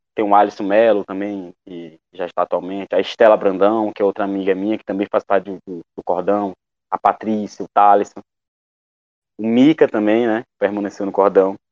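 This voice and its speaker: Recorded dry and close with no echo, a man speaks at a moderate pace in a fairly low pitch with monotone, flat intonation and big swings in loudness. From Maranhão, Brazil (Coroatá). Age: 20s. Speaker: actor and theatre teacher. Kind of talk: interview testimony.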